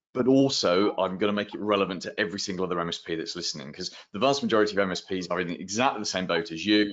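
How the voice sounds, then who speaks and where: Speaking with a British accent, a man talks at a very fast pace. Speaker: marketing consultant. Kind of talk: round table advice session. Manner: animated.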